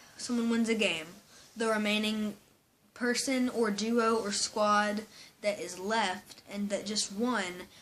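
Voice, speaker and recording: Very slow in pace, a woman speaks at a fairly high pitch. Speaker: gaming youtuber. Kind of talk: casual commentary. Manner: hesitant, with fillers.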